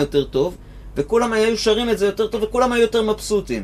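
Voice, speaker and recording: The man's speech moves fairly quickly. Behind him, background noise is noticeable. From Israel, Givatayim. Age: 50s. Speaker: guitar teacher and musician. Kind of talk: casual chat.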